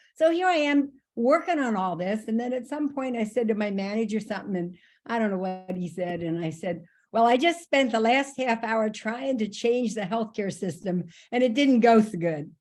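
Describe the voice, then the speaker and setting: A woman's ordinary speaking voice, fairly high-pitched, with lively intonation at a moderate pace. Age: 60s. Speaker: registered nurse. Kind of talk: casual chat. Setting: video call.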